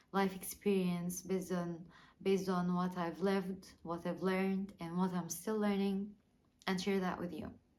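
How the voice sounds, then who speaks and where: A woman speaks at a medium pitch, with audible echo in the room. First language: not English. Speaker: small YouTuber. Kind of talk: personal vlog monologue. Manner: halting, many fillers and repeats.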